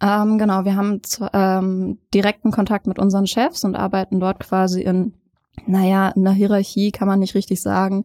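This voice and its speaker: A woman speaks at a moderate pace and a medium pitch, her tone dark and mellow, her intonation monotone and flat. Her loudness stays very even, and the recording is very clean with a silent background. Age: 20s. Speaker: hairstylist. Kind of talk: interview.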